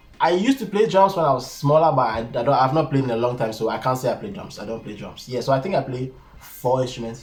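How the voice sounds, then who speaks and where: A man talks at a very fast pace with lively intonation. Music plays in the background. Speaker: YouTuber. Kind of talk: casual Q&A talk to camera.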